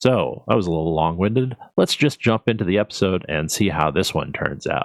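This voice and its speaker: With an American accent and a very deep, low pitch, a man talks at a fairly quick pace with lively intonation, in a dry, close recording with no echo. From United States. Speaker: gaming video creator. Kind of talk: gameplay commentary. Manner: hesitant, many fillers and self-corrections.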